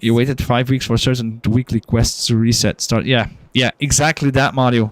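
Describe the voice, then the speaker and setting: In a very clean recording with a silent background and a dry, close sound with no echo, a man with a non-native accent speaks at a moderate pace, his intonation fairly even and his loudness very even. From Belgium. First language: not English. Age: adult, working. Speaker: gaming streamer. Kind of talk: casual game-stream chat.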